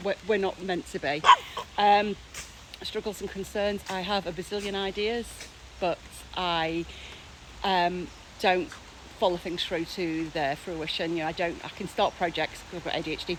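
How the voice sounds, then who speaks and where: Against noticeable background noise, a woman of medium pitch talks with fairly even intonation and long, frequent pauses. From Teesside, England. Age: 40s. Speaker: academic. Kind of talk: casual talk to camera. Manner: fast.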